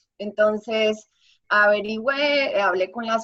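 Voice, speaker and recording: This woman's tone is bright and sharp, at a medium pitch. She speaks at a fairly slow pace. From Colombia. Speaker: singer-songwriter and artist. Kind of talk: interview. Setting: video call.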